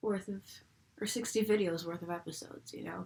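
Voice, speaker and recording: Somewhat breathy and fairly quick, the speech comes with an American accent. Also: woman. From US, Buffalo, New York. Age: 20s. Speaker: fan video reviewer. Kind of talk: casual vlog. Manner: casual, chatty.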